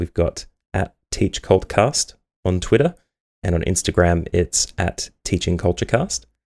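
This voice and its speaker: A man's unremarkable speaking voice, fairly low in pitch, with lively intonation at a moderate pace and a dry, close sound with no echo. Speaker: podcast host and teacher. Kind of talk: podcast interview, conversational.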